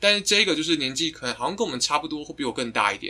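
The speech moves at a very fast pace with very wide pitch swings. The tone is bright and sharp. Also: man. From Taiwan. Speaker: guest, friend of the hosts. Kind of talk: casual chat.

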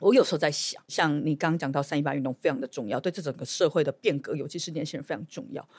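The sound is dry and close with no echo. A woman speaks at a very fast pace. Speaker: podcast host and legislator. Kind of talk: casual interview chat.

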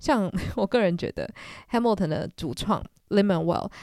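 Recorded dry and close with no echo, a woman speaks at medium pitch with vocal fry and lively intonation. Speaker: podcast host. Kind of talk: casual solo podcast chat. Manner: chatty, conversational.

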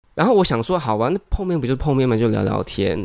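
A man at a medium pitch talks at a very fast pace. His intonation is lively, with vocal fry. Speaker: music publicist and yoga teacher. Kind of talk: casual interview chat.

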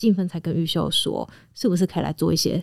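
A woman with a normal speaking voice talks at a fairly quick pace, with a fairly low pitch, ordinary pitch variation, and a dry, close sound with no echo. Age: 30s. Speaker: veterinarian and animal trainer. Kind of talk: casual chat.

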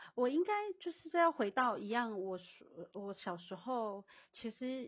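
A woman is speaking. The pitch of her voice moves in very wide swings. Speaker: guest discussing social justice. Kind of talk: casual chat. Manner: halting, many fillers.

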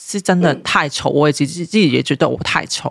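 A woman with a Hong Kong accent, lively intonation and a moderate pace, in a very clean recording with a silent background and a dry, close sound with no echo. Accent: Hong Kong Cantonese-accented Mandarin. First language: Cantonese (speaking Chinese). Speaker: parenting blogger. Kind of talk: casual chat.

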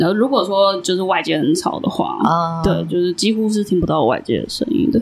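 The speech runs at a fairly quick pace with hardly any pauses and very wide pitch swings. Noticeable background noise is present. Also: woman, medium pitch for a woman. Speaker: podcast host. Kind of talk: casual chat. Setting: small studio room.

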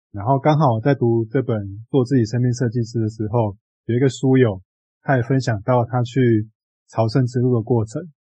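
A man's somewhat breathy voice at a medium pitch, with fairly even intonation and a moderate pace. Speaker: book podcast co-host. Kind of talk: casual book discussion.

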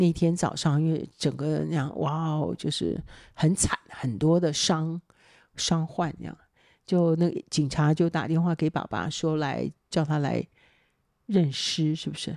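A woman's very deep, low-pitched voice at a fairly slow pace, on a very clean recording with a silent background and a dry, close sound with no echo. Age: 60s. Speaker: mother. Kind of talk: casual chat.

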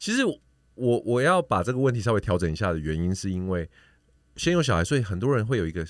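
With very wide pitch swings, a man talks at a very fast pace in a very clean recording with a silent background. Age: 40s. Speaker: podcaster. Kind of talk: casual chat.

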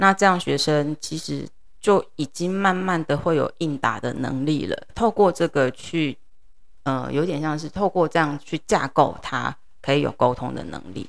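A woman speaks with a very deep, low pitch and vocal fry. She keeps a fairly slow pace. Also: ordinary pitch variation, very clean recording, silent background. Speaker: middle school English teacher. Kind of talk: interview.

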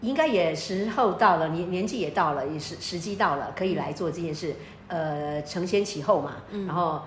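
A woman speaks with a fairly low pitch. Noticeable background noise and audible room echo are present. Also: ordinary pitch variation, moderate pace. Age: 50s. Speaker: astrologer and author. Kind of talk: casual chat.

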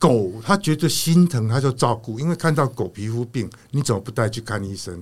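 A man speaks at a moderate pace in a somewhat breathy voice, his pitch swinging very widely. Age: 60s. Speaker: retired factory owner. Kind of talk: casual interview chat.

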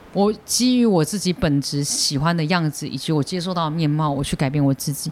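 With ordinary pitch variation, a man's fairly high voice comes through noticeable background noise. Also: fairly quick pace. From Taiwan. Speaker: stand-up comedian. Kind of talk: casual chat.

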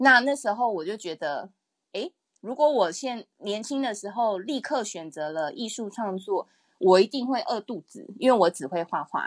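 A woman with a fairly high pitch speaks at a moderate pace, her pitch swinging very widely and her loudness shifting a lot, in a dry, close sound with no echo over a quiet background. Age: 30s. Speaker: illustrator and picture book author. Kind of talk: interview.

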